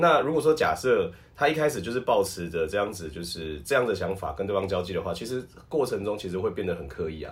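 Delivered at a very fast pace, the voice is somewhat breathy and swings very widely in pitch. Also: man, fairly low pitch for a man. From Taiwan. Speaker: professional wrestler and voice actor. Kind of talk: casual chat.

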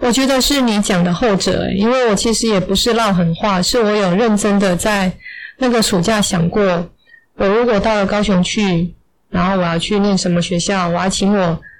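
A woman with a normal speaking voice talks at a moderate pace in a medium pitch, her intonation fairly even and her loudness very even. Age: 40s. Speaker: English teacher. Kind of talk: interview storytelling.

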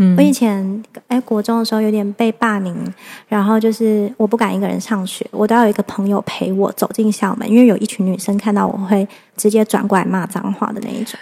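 Breathing somewhat breathily, a woman speaks at a fairly quick pace with monotone, flat intonation. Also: medium pitch for a woman. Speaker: mother and mind-body-spirit practitioner. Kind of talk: casual interview chat.

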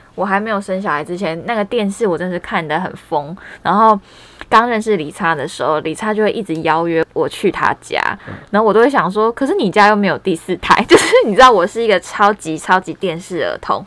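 Speaking at a fairly quick pace with ordinary pitch variation, a woman is heard over noticeable background noise. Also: medium pitch for a woman. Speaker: podcast host. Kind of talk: casual chat. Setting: small room at home, masked.

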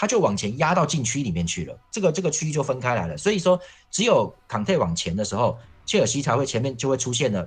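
A man speaks very fast at a medium pitch, with very wide pitch swings. His voice carries vocal fry. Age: 40s. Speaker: football columnist. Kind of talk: casual chat.

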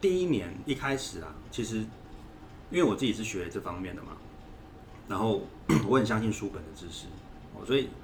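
A man with a fairly low pitch speaks at a fairly quick pace but with long, frequent pauses, his pitch swinging very widely. His loudness shifts a lot, and there is audible room echo. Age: 40s. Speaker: parenting consultant and author. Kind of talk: interview.

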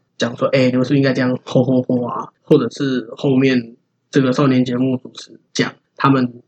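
In a Taiwanese accent, a man of medium pitch speaks with big swings in loudness, the sound dry and close with no echo. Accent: Taiwanese Mandarin. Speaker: podcast co-host, hip-hop fan. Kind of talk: casual chat.

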